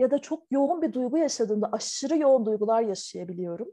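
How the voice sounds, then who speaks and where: A dark, mellow tone at a fairly quick pace. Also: woman. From Turkey (Ankara), part of childhood in Taiwan. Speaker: visual artist. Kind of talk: interview. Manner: hesitant, many fillers.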